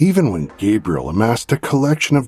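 A man delivers his lines in a dramatic tone over noticeable background noise. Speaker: podcast narrator. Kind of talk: scripted true-crime narration. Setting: studio. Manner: dramatic, grave, suspenseful narration.

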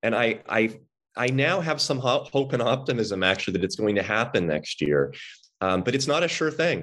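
Over a quiet background, a man with an American accent talks at a moderate pace and medium pitch, with vocal fry, very wide pitch swings, and very even loudness. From Los Angeles, California. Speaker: psychiatrist. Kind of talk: interview.

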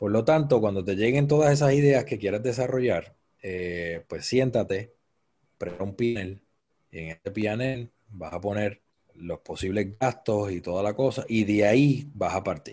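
A fairly low, dark, mellow male voice with a Puerto Rican accent and ordinary pitch variation. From Puerto Rico, Cabo Rojo. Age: 30s. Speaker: event producer. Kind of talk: interview.

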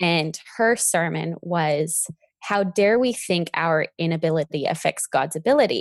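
A normal speaking voice from a woman with a Canadian accent, fairly low in pitch, with ordinary pitch variation and very even loudness. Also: fairly slow pace, dry, close sound with no echo. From British Columbia, Canada. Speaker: event planner and blogger. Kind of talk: interview.

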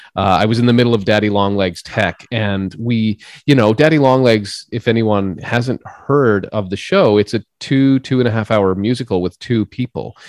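A man's plain, everyday voice with a Canadian accent, fairly low in pitch, at a moderate pace with hardly any pauses and ordinary pitch variation, in a dry, close sound with no echo and a quiet background. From Saskatchewan, Canada (small rural town). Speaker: stage actor. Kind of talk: casual interview.

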